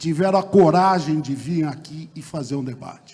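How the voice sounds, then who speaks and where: With an ordinary speaking voice pitched fairly high, a man talks at a fairly slow pace with ordinary pitch variation. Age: 60s. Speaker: mayoral candidate, lawyer. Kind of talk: political debate closing statement. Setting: theatre stage with audience, broadcast on radio.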